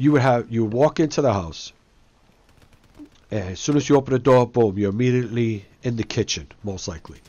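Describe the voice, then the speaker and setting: A man with an East Coast accent, medium pitch and ordinary pitch variation, at a fairly quick pace broken by long, frequent pauses. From Brooklyn, New York. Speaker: gaming YouTuber. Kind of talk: casual chat over gameplay. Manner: casual, slangy.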